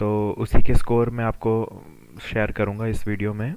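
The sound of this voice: A man's clear, smooth, slightly mellow tone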